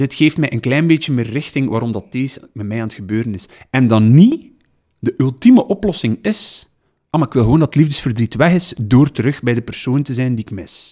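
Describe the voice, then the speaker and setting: With a Flemish accent and lively intonation, a dark, mellow voice moves at a fairly quick pace over a very clean, silent background. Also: man, medium pitch for a man. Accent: Flemish Dutch. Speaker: podcast co-host. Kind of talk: casual chat.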